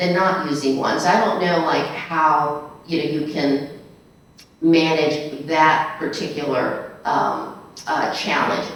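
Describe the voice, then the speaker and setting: Very deep, low pitch from a woman with an American accent, fairly even intonation and a fairly slow pace, with noticeable background noise and audible room echo. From United States. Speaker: attorney and panel moderator. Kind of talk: panel discussion. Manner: casual, conversational.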